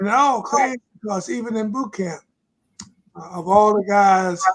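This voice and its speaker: A man's high voice with a Virginia accent, ordinary pitch variation and a moderate pace. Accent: US Southern (Virginia). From Virginia, Lunenburg County. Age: 80s+. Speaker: retired pastor and author. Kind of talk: interview testimony.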